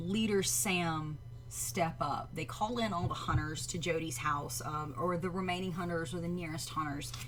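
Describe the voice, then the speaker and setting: A woman speaks in a Southern US accent at a fairly low pitch and a moderate pace, with vocal fry. Audible room echo surrounds her voice. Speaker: livestream reaction show host. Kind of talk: live stream reaction chat. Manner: hesitant, many fillers.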